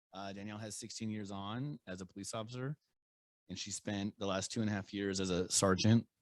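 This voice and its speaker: A plain, everyday voice, a man's fairly low one, moves at a fairly quick pace with fairly even intonation and a dry, close sound with no echo. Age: 40s. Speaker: podcast host and police sergeant. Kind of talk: casual interview chat. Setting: studio.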